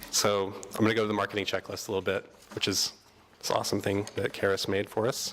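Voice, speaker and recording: With noticeable background noise, a man talks at a fairly quick pace with a fairly low pitch and monotone, flat intonation. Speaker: workshop presenter on artist marketing. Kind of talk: workshop presentation. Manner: fast; hesitant, many fillers.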